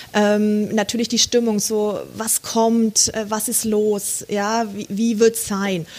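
A woman with a fairly high voice speaks at a very slow pace in a monotone, flat delivery with hardly any pauses, over noticeable background noise. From Franconia, Germany. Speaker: photographer. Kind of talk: casual interview.

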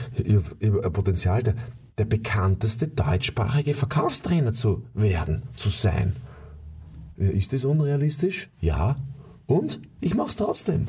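A man with a fairly low pitch, a dark, mellow tone and vocal fry speaks at a fairly slow pace with very wide pitch swings, very even loudness and long, frequent pauses. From USA. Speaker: sales trainer. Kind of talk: motivational monologue. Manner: animated; halting with repetitions.

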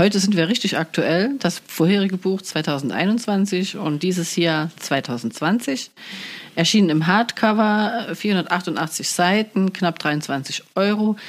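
A woman speaks very slowly at a medium pitch, keeping her loudness very even. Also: ordinary pitch variation. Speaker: podcast host. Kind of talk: casual chat. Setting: studio.

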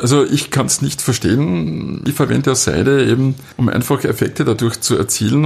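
A normal speaking voice carries the words along at a moderate pace. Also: man. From Austria, southern Styria. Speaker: carpet dealer and designer. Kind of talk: interview. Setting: carpet gallery, muffled acoustics.

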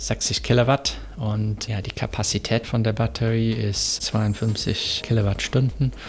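With an English accent, a man talks very slowly at a fairly low pitch and fairly even intonation. Noticeable background noise runs behind him. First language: English (speaking German). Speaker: motorsport engineer. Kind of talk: interview. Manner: halting, with filler sounds.

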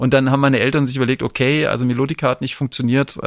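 Against a quiet background, a man speaks very fast in a monotone, flat way at a medium pitch. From Hesse / Rhineland, Germany. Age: 40s. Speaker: podcast host, journalist. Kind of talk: casual chat.

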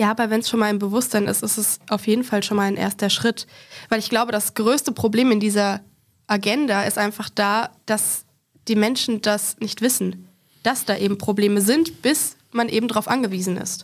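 An unremarkable speaking voice, its intonation fairly even. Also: woman, fairly high pitch for a woman, moderate pace. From German small town. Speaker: guest with visual impairment on accessibility. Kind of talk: casual panel discussion. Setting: studio.

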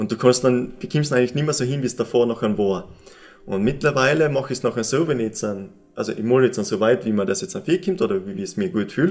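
Very fast pace and lively intonation in an East Tyrolean accent. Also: man, medium pitch for a man. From East Tyrol, Austria. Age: 20s. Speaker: painter. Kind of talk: interview. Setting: summit cross exhibition space.

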